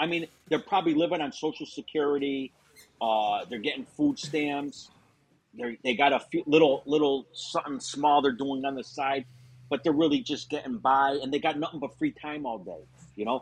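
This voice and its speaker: A man speaks with a western Massachusetts accent at a moderate pace. His pitch is fairly high, with ordinary variation. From Springfield, Massachusetts. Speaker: former mobster. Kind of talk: casual interview.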